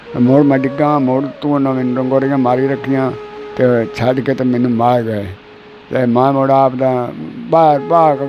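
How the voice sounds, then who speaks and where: A man's voice with fairly even intonation, dry with no echo, amid noticeable background noise. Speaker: former wrestler. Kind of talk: interview answer. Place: home room. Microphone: lapel.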